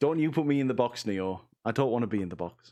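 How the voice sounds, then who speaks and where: A man with a British accent at a very fast pace. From UK. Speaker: 3D artist streaming a tutorial. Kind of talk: live-stream tutorial. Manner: casual, chatty with self-corrections.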